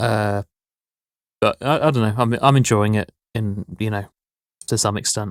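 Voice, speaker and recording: Recorded very cleanly against a silent background, a man speaks with fairly even intonation and long, frequent pauses in a dry, close sound with no echo. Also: fairly low pitch for a man, moderate pace. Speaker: podcast co-host. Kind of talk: casual chat. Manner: monotone.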